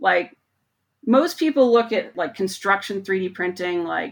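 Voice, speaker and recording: A woman at a fairly slow pace, in a very clean recording with a silent background. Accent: American. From Montana, US. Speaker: research mechanical engineer. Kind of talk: interview.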